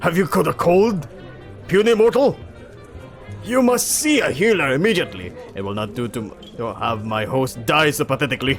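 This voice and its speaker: A man's put-on character voice at a fairly high pitch and moderate pace, with very wide pitch swings, hissing and clear music in the background. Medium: read story. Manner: pompous, archaic.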